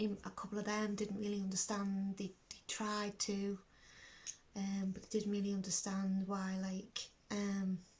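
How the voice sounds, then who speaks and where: A woman with a Liverpool accent talks at a fairly slow pace in a somewhat breathy voice. Her medium pitch stays monotone and flat. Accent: Scouse. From Liverpool, England. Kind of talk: personal video diary talk to camera.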